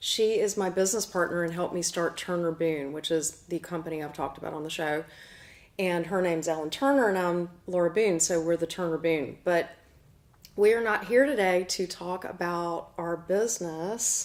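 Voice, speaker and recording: Someone speaks at a moderate pace with a Southern US accent. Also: woman, fairly low pitch for a woman, ordinary pitch variation. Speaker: show host and medium. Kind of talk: casual chat.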